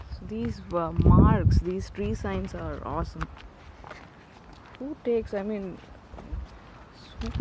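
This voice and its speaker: Over noticeable background noise, a woman speaks very slowly with a Tamil accent and long, frequent pauses. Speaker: vlogger. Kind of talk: casual vlog narration. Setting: outdoors, hiking trail. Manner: halting.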